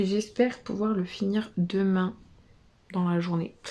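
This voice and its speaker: Here a woman speaks at medium pitch. Her tone is dark and mellow, her intonation fairly even. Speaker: book vlogger. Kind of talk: casual vlog. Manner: soft-spoken; hesitant, many fillers.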